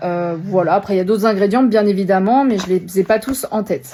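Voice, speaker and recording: With a dark, mellow tone, a woman speaks at a moderate pace with ordinary pitch variation. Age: 20s. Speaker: product seller, new mother. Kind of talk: product presentation sales pitch. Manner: casual with frequent hesitations.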